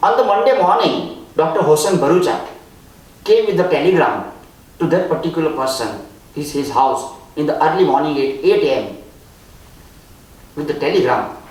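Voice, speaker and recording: A man with an Indian accent at a moderate pace, with long, frequent pauses, noticeable background noise and audible room echo. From India, Gujarat. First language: Gujarati or other Indian language. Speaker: spiritual speaker, author. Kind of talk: storytelling talk.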